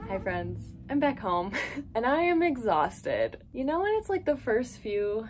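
Against light background noise, a woman speaks at a fairly slow pace with lively intonation. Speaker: haul vlogger. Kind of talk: casual vlog chat. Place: home room. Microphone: phone near.

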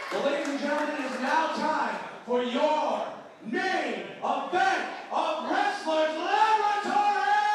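Strong room echo and light background noise accompany a man at a fairly slow pace. His pitch is extremely high and his intonation lively. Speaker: ring announcer. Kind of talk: wrestling ring announcement. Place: hall.

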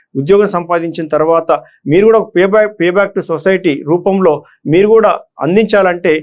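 A man's voice with fairly even intonation. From Telangana, Nizamabad district (Armoor). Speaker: retired police officer turned election candidate. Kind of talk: motivational address to exam candidates. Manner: halting.

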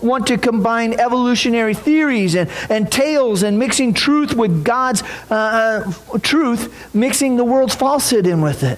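A man speaks at an extremely high pitch, with audible room echo.

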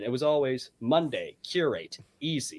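Speaking at a fairly slow pace, a man with a fairly high pitch shows ordinary pitch variation. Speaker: fiction writer. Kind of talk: casual chat. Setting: video call. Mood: enthusiastic, relieved. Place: home room. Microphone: video call.

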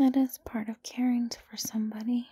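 Soft-spoken and at a fairly slow pace, the voice comes over a quiet background with a dry sound and no echo. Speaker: roleplay voice actor. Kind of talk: intimate audio roleplay, soft talk to listener. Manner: soft drowsy tender voice.

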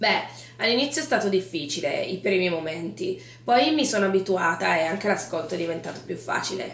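Over noticeable background noise, a woman speaks at a fairly quick pace. Her medium-pitched voice moves in very wide pitch swings. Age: 20s. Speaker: event and location manager. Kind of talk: interview.

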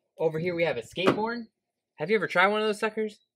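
Loud background noise competes with a man who is talking. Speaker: vlogger. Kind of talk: sarcastic comedic vlog monologue. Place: street. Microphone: camera far.

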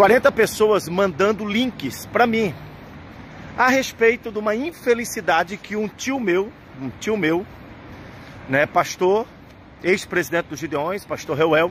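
Speech comes at a fairly slow pace with long, frequent pauses and lively intonation. The sound is dry with no echo, over light background noise. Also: man. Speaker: pastor. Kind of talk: protest vlog address to believers. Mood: indignant, emphatic. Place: street. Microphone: phone near.

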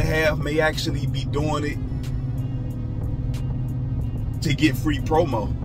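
A man's fairly slow speech competes with loud music in the background. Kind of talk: casual vlog chat. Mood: mildly annoyed, advising. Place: car. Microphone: phone near.

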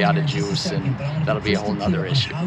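Loud background noise runs under a man talking. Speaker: vehicle owner vlogger. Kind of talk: casual vlog chat. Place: street. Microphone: phone near.

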